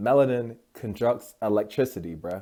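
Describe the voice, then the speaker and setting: The man's voice has a medium pitch and a dark, mellow tone, captured in a very clean recording with a silent background. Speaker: spiritual YouTuber. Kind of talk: casual vlog monologue. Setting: at home. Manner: fast; animated.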